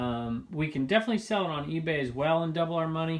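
Ordinary pitch variation marks a man's fairly quick speech. Behind it, the background is quiet. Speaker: reseller vlogger. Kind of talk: casual vlog chat. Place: home room. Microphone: phone near.

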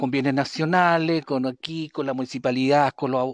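Against a quiet background, a man with a fairly high pitch talks at a moderate pace, the sound dry with no echo. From Chile, Maule region (San Javier, Panimávida); Maule, Chile. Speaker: local community activist; interviewee. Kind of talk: interview testimony. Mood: aggrieved, insistent. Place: street. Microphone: handheld.

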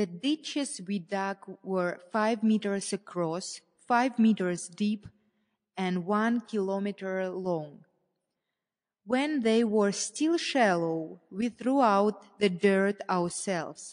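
A woman with a non-native accent speaks at a very slow pace and medium pitch against a quiet background. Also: ordinary pitch variation. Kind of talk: memoir passage reading.

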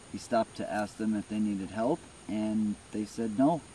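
Over light background noise, a man with a fairly low pitch speaks at a moderate pace, and the sound is dry with no echo. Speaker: paranormal storyteller. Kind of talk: casual vlog narration. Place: open country.

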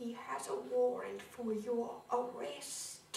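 Doing a put-on character voice, a woman growls in a high pitch at a very slow pace, with slight echo and light background noise. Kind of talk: theatrical monologue performance. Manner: blunt, grim.

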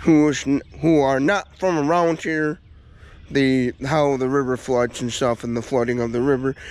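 A man talks at a moderate pace, his pitch varying in an ordinary way. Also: dry sound with no echo. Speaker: local vlogger. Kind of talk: casual vlog chat. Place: open country. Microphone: phone near.

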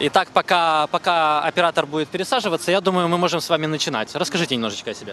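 A man with high pitch and a bright, sharp tone, very fast with hardly any pauses, ordinary pitch variation, a dry sound with no echo and light background noise. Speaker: TV reporter. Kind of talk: live field report. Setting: in a car. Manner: animated. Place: car. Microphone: handheld.

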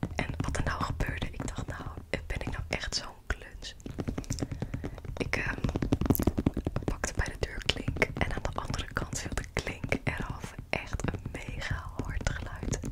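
A woman whispers at a very slow pace. Long pauses come often. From Netherlands. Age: 20s. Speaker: ASMR creator. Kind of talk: ASMR rambling. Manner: soft-spoken. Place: home room. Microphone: studio mic.

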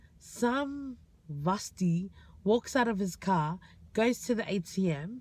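A woman's somewhat breathy voice comes through dry, with no echo. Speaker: vlogger. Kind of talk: casual vlog storytelling. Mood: amused, animated storytelling. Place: car. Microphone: phone near.

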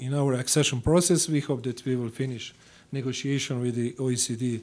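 With a Croatian accent, a man speaks in fairly even intonation. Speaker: government foreign affairs official. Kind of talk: diplomatic speech. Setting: congressional meeting room. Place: meeting room. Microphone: podium.

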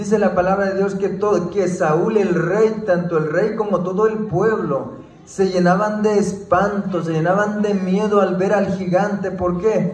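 In a room with audible echo and light background noise, a man with a high voice speaks at a fairly slow pace with monotone, flat intonation. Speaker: preacher giving testimony. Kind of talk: sermon. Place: church. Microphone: handheld.

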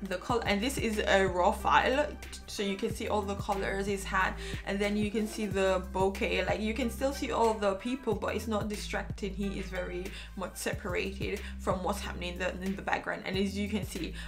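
A woman talking at a fairly quick pace, clear music in the background. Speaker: photographer reviewing a lens. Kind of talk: tutorial. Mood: enthusiastic. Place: home room.

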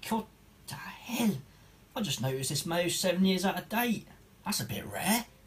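Long pauses come often in this man's speech. His pitch is high. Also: lively intonation, moderate pace. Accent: Norfolk. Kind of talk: comedy sketch.

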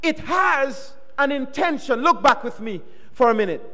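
Raised and projected, a man's voice sounds animated, with an extremely high pitch and very wide pitch swings. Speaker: guest preacher. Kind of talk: sermon. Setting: church. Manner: animated, interactive, call-and-response; warm, teacherly, emphatic. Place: church. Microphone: podium.

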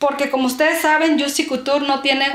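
A woman's high-pitched voice with a strong northern Mexican accent and audible room echo. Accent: northern Mexican, strongly marked ch sound. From Mexico, Sonora. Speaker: beauty and perfume vlogger. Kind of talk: casual vlog talking to camera. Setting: at home, filming herself. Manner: warm, chatty. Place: home room. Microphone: camera far.

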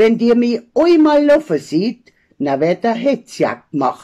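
Over a quiet background, a woman with an Allgäu accent speaks at a very slow pace in a dark, mellow tone. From Allgäu, Bavaria. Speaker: dialect poet. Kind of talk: poetry reading. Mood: humorous, lively storytelling. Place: home room. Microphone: phone near.

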